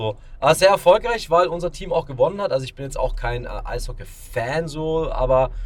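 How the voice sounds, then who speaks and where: The pace is fairly quick. Loudness swings widely throughout. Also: man. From Augsburg, Germany. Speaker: magician and podcast co-host. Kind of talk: casual chat. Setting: in a car.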